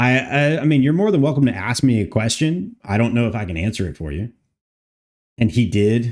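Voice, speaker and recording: A man with a plain, everyday voice speaks at a medium pitch and a fairly quick pace, with lively intonation. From Canada. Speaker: game modder streamer. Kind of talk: live stream modding session. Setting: live stream.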